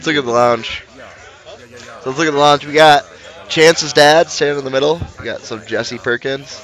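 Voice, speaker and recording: A man with an American accent and fairly high pitch, animated in tone, at a moderate pace with crowd noise in the background. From Michigan. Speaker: livestream race commentator. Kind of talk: live commentary. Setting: live stream at a race venue. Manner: casual, animated. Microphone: single shared mic after audio issues.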